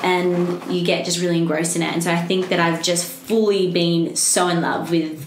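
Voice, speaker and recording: Noticeable background noise accompanies a woman speaking at a fairly quick pace and a fairly low pitch in an Australian accent. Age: 20s. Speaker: vocal coach, singer-songwriter. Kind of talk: interview answer.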